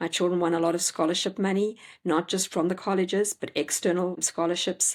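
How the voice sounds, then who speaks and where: A woman with a South African accent and a fairly low pitch talks at a fairly quick pace in a monotone, flat way, on a very clean recording with a silent background. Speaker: homeschooling parent and educator. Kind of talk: interview conversation.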